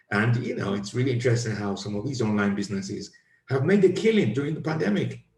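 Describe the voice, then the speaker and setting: Somewhat breathy, a man speaks at a very fast pace with lively intonation. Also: medium pitch for a man. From Nigeria. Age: 50s. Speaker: podcast host, comedian. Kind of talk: casual chat.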